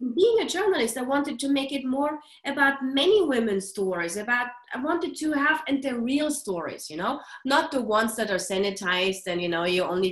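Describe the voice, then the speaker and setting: Spoken at a fairly quick pace with a non-native accent, the voice swings very widely in pitch over noticeable background noise. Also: woman. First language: not English. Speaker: author and journalist. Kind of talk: interview. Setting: call. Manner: passionate, animated.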